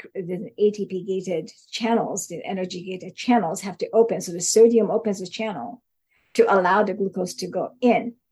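With an unremarkable speaking voice, a woman talks in a medium pitch, her pitch moving with ordinary variation. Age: 60s. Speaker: neuroscience researcher. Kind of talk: interview.

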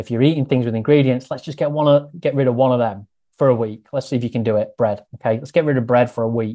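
A man at medium pitch, speaking very fast with fairly even intonation. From Grimsby, Lincolnshire, England. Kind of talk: casual interview chat.

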